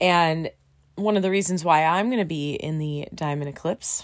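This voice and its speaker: A woman with a Californian accent, very deep and low in pitch, with ordinary pitch variation. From US, Southern California. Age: 40s. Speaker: podcast host, student pilot. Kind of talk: casual chat.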